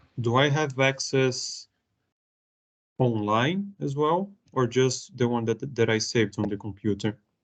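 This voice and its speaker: A man with a non-native accent speaks at a medium pitch with lively intonation. His pace is fairly slow, with long, frequent pauses. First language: not English. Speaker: trainee manager. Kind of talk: one-to-one training session.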